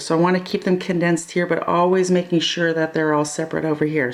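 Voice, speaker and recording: A woman's fairly low-pitched voice with fairly even intonation, over noticeable background noise. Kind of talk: tutorial. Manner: slow; casual.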